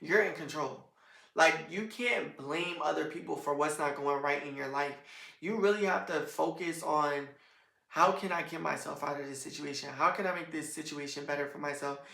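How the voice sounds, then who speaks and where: The voice has ordinary pitch variation and a moderate pace, with audible room echo. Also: woman. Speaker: podcast host. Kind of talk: solo podcast monologue. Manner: casual, rambling.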